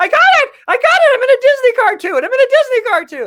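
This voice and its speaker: This put-on character voice sits at an extremely high pitch and races along at a very fast pace. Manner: excited, exaggerated cartoon.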